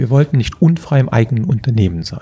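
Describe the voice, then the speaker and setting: His pitch varies in an ordinary way. The man's voice carries a somewhat breathy quality. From Germany, Eifel (Prüm, near Belgian border). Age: 50s. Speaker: tech investor and entrepreneur. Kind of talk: interview. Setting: office room.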